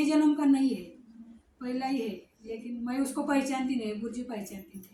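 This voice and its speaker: High-pitched woman's voice with ordinary pitch variation and audible room echo. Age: 60s. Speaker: devotee. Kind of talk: testimony. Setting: ashram. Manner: halting.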